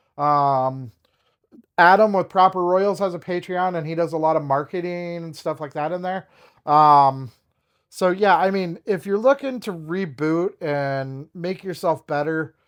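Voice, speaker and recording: The background is quiet. A man with a high pitch speaks fairly slowly, with ordinary variation in pitch. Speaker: snake breeder and car salesman. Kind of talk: casual advice talk to camera. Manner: heavy breathing.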